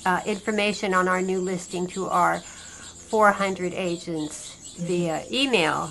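A woman talks at a fairly slow pace in a plain, everyday voice, with an American accent. Her pitch sits in the medium range and her intonation stays fairly even. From San Francisco Bay Area, California. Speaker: real estate agent. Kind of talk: interview.

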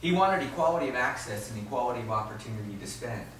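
Against noticeable background noise, a man with an American accent speaks with lively intonation. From US Northeast (South Jersey). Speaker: history professor. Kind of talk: lecture. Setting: lecture hall with audience.

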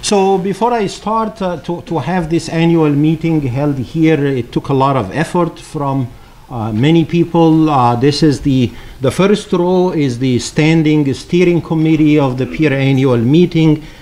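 Speaking fairly slowly, a man uses ordinary pitch variation. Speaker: conference host. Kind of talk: opening welcome speech. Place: hall. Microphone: podium.

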